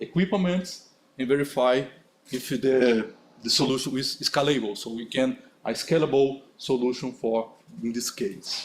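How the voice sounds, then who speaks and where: Talking at a fairly slow pace, a man has a medium pitch and ordinary pitch variation. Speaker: conference speaker. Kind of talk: conference talk with Q&A. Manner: halting.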